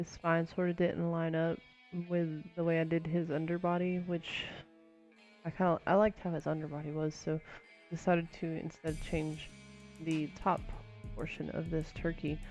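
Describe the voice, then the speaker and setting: Music plays behind a woman's voice. Her pitch is fairly low and her intonation monotone and flat. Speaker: digital artist. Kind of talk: casual voice-over for art timelapse. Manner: hesitant, many filler words.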